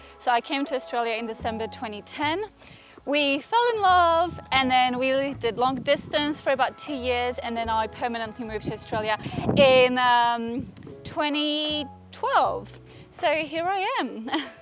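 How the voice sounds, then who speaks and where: Over noticeable background noise, a woman talks fairly slowly at a high pitch with ordinary pitch variation. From Poland, Gdańsk. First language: Polish. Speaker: author. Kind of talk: interview.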